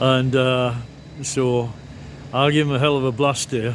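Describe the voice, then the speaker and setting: The speech comes at a fairly slow pace, with audible room echo. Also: man. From northeast England. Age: 70s. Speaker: vlogger, former physics teacher. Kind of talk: casual vlog monologue. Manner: halting, many fillers and restarts.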